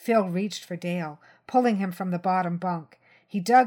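The voice is a natural reading voice, and its pitch variation is ordinary.

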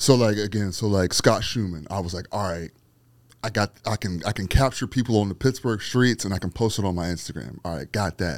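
This is an unremarkable speaking voice with an American accent. It moves at a fairly quick pace with ordinary pitch variation. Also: man, fairly low pitch for a man. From Aliquippa, western Pennsylvania. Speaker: street photographer and former radio host. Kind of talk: casual interview chat.

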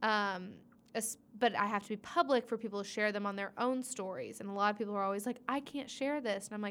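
Recorded very cleanly over a silent background, a woman talks at a fairly quick pace and fairly high pitch. She has a normal speaking voice with ordinary pitch variation. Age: 20s. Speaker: trivia night host. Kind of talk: casual chat.

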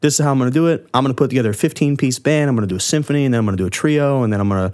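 A man with a medium pitch and an American accent talks at a very fast pace with lively intonation on a very clean recording with a silent background. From Florida, Largo. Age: 20s. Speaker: musician. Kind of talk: casual chat.

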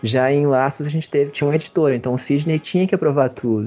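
This man talks very fast with fairly even intonation. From Brazil, Belo Horizonte. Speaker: comics artist. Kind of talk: interview. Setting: video call.

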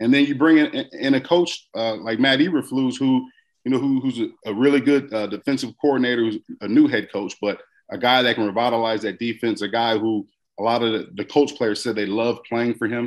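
A man's plain, everyday voice at medium pitch, fairly quick, with ordinary pitch variation. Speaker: former football player, podcast host. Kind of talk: radio interview, casual sports talk.

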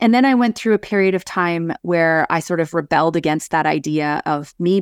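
In a very clean recording with a silent background, a woman speaks with a Canadian accent at a fairly low pitch and a fairly quick pace. The sound is dry and close with no echo, and it is a plain, everyday voice. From northern Alberta, Canada. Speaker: civil engineer and leadership coach. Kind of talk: interview conversation.

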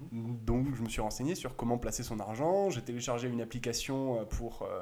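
A man at a moderate pace, a normal speaking voice with ordinary pitch variation. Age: 20s. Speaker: retail stock investor. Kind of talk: casual explanatory chat. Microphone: sound problems in first 20 minutes.

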